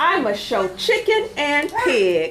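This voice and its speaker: A put-on character voice swings very widely in pitch. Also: woman. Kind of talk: bedtime story. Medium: read story.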